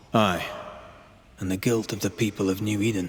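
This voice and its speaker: Using a put-on character voice, a man speaks fairly quickly with monotone, flat intonation. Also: fairly low pitch for a man. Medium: video game. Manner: blunt.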